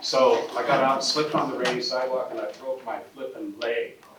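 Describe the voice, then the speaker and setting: A voice with an American accent amid noticeable background noise. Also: man. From Spokane, Washington, US Pacific Northwest. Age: 60s. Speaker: property owner at a press conference. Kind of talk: press conference speech. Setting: press conference. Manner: animated, informal.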